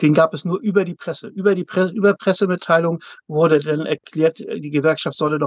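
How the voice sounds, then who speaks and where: The speaker uses a plain, everyday voice. Delivery is fairly quick with ordinary pitch variation. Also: man. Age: 50s. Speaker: zookeeper and works council chair. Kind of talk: interview.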